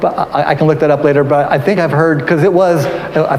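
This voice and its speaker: Audible room echo and noticeable background noise surround a man talking fairly quickly, his intonation fairly even. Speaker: museum curator. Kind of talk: live-streamed history talk. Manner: halting, many repetitions and fillers.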